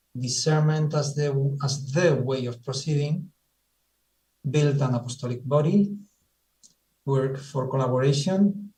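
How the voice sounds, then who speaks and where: A man's somewhat breathy, dark and mellow voice at a fairly high pitch, with ordinary pitch variation, a fairly slow pace and long, frequent pauses. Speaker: Jesuit presenter. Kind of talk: presentation. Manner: halting; methodical.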